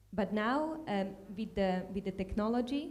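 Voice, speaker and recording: A woman speaks with a Slovak accent. Her pitch is fairly high. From Slovakia. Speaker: tech manager, panelist. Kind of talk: panel discussion. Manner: halting, many fillers.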